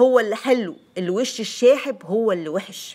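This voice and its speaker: A woman in an Egyptian accent speaks at a fairly slow pace with lively intonation, on a very clean recording with a silent background. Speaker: lifestyle YouTuber. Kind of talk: vlog monologue, personal weight-loss story and tips. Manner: chatty, conversational.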